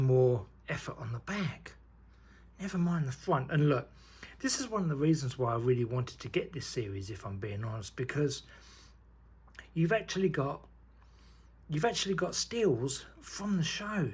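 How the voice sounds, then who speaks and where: At a moderate pace, the somewhat breathy voice makes very wide pitch swings and leaves long, frequent pauses. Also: man. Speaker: YouTuber unboxing trading cards. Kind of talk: casual unboxing commentary. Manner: quiet, half-whispering; animated, enthusiastic.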